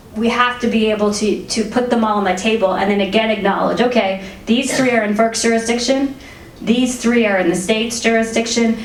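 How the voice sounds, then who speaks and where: Fairly even intonation marks a woman's voice. Audible room echo and noticeable background noise fill the recording. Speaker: energy regulatory commissioner. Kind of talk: fireside chat interview. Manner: fast.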